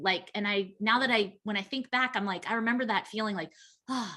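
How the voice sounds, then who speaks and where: The woman's voice has a bright, sharp tone. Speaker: company founder and webinar host. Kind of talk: casual interview. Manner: fast.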